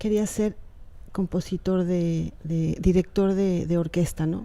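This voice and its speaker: With a Yucatán accent, a woman speaks in a fairly low pitch with a dark, mellow tone. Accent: picked up Yucatán. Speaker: writer. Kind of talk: interview.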